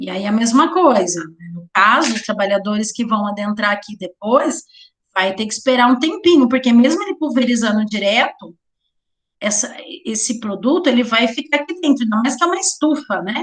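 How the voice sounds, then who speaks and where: A woman with a fairly high voice speaks at a moderate pace, using very wide pitch swings and big swings in loudness. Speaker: teacher of occupational safety. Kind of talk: lecture.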